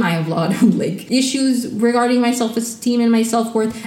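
A woman speaks at a fairly quick pace and a fairly high pitch. Noticeable background noise runs underneath. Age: 20s. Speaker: solo podcast host reviewing reality TV. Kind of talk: casual solo recap monologue. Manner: animated.

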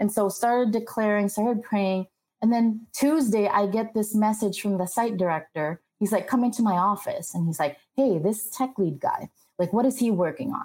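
Somewhat breathy, a woman with a fairly high pitch and a dark, mellow tone talks at a moderate pace with very even loudness. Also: ordinary pitch variation. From Philippines. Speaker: tech program manager. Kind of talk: interview.

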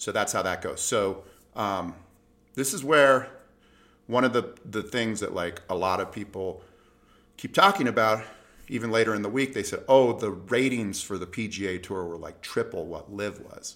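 At a moderate pace, a man speaks in an ordinary speaking voice with a medium pitch and ordinary pitch variation. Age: 50s. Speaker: golf podcast host. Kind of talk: casual solo commentary. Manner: conversational, with filler words.

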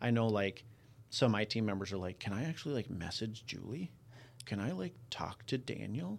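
This is an ordinary speaking voice with ordinary pitch variation in a very clean recording with a silent background. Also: man, fairly low pitch for a man, moderate pace. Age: 30s. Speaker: podcast host, real estate team leader. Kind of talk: casual interview chat.

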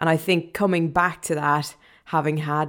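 A woman speaks with a very deep, low pitch. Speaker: radio DJ. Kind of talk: casual chat.

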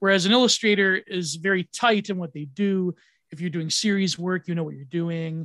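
An animated voice with a bright, sharp tone moves at a moderate pace through big swings in loudness, recorded dry and close with no echo. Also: man, high pitch for a man. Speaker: podcaster and online commentator. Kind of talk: casual conversational interview. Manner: animated, laughs often.

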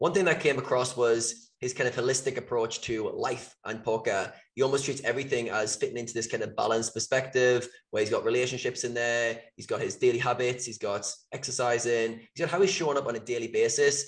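A somewhat breathy man speaks at a very fast pace with fairly even intonation. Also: medium pitch for a man. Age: 30s. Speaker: podcast co-host. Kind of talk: interview.

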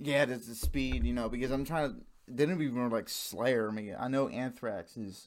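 The man speaks at a moderate pace. His pitch variation is ordinary. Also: medium pitch for a man. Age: 20s. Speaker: podcast host. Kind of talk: casual chat. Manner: halting.

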